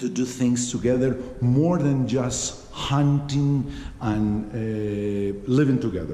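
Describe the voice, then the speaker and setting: Speaking very slowly with a Spanish accent, a man uses a medium pitch and ordinary pitch variation, with noticeable background noise and audible room echo. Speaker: travel vlogger. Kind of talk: vlog tour explanation. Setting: inside a museum. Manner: halting, many fillers.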